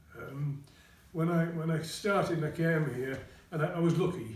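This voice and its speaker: Noticeable background noise sits under this clip. A man with a fairly high pitch talks at a fairly slow pace. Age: 80s. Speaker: retired college principal. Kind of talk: interview answer.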